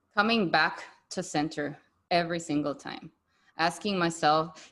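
A woman at a fairly slow pace, quiet background behind her. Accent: Spanish. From Bolivia. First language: Spanish. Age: 30s. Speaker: podcast host and yoga and spirituality coach. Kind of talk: interview conversation with intro and outro. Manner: warm, animated, enthusiastic.

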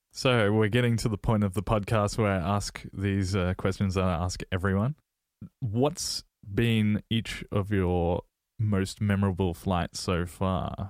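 A man with an Australian accent speaks fairly slowly in a fairly low voice, with fairly even intonation and very even loudness, on a very clean recording with a silent background. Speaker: podcast host. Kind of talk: interview.

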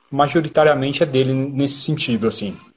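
This man has a fairly high pitch. His voice is somewhat breathy. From São Paulo, Brazil (south zone). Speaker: band drummer. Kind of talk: casual interview chat. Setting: online live stream.

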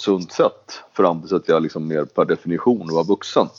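A man speaks in a normal speaking voice at a moderate pace, with ordinary pitch variation. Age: 40s. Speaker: venture capitalist and politician. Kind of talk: casual interview.

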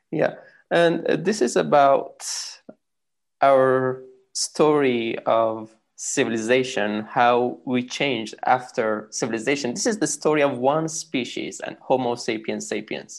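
Someone speaks at a very slow pace in a Persian accent against a quiet background. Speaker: podcast host. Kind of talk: podcast intro monologue; interview.

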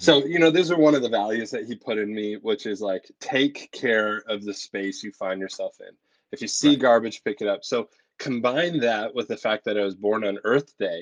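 A man with an ordinary speaking voice talks at a moderate pace in a medium pitch with ordinary pitch variation. His loudness swings widely, and the sound is dry and close with no echo. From Canada, Ontario. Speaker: pastor and podcast co-host. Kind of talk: casual chat.

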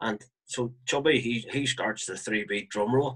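A man with a Northern Irish accent, medium pitch and a moderate pace. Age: 40s. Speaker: marching band flute player. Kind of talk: interview.

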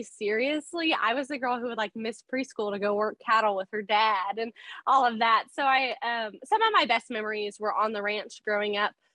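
In a Texan accent, a woman speaks at a moderate pace with hardly any pauses, her pitch fairly high and varied in an ordinary way. Her tone is bright and sharp, the sound dry and close with no echo. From South Texas. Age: 20s. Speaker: small business owner. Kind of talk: interview.

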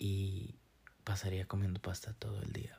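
A man talks at a fairly slow pace in a fairly low pitch. His tone is dark and mellow, somewhat breathy. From Costa Rica, San Carlos. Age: 20s. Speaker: podcast host. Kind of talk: casual monologue. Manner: hesitant, many fillers.

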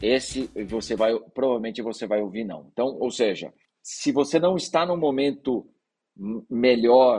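A man's medium-pitched voice, dark and mellow in tone, with lively intonation at a fairly slow pace. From interior of Brazil (raised mostly outside São Paulo city). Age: 40s. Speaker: startup investment executive. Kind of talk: podcast interview.

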